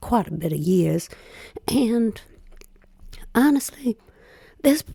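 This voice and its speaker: Somewhat breathy and dark, mellow in tone, a woman speaks with a Southern US accent. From US South. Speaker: YouTube reaction commentator. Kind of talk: casual reaction commentary.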